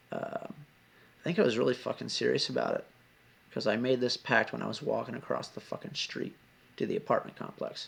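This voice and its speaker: A man mumbles at a fairly quick pace, broken by long, frequent pauses. Background noise is noticeable. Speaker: video blogger on abuse recovery. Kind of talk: personal testimony. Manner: mumbling; animated. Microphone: laptop, volume getting low.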